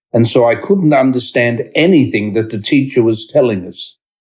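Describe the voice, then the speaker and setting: Here a man with an Australian accent speaks at a medium pitch with ordinary pitch variation. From Australia (Sydney). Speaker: discussion group presenter. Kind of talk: reading aloud.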